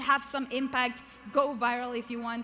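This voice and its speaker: A woman with a non-native accent speaks in an animated, bright, sharp tone at a high pitch, with audible room echo. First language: not English. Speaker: keynote speaker and author. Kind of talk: motivational keynote speech. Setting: stage with large audience.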